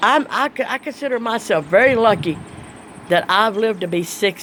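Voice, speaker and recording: The speaker's intonation is lively. The pace is moderate. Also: woman. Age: 60s. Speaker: vlogger. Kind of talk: casual monologue. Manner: plain spoken.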